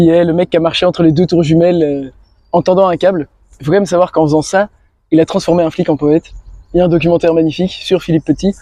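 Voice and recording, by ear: A man's fairly high voice, dark and mellow in tone, at a fairly quick pace with fairly even intonation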